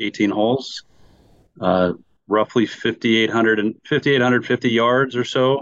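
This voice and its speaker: A man's voice, dry and close with no echo. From Wisconsin, US Midwest. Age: 50s. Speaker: golf course architect. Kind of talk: podcast interview.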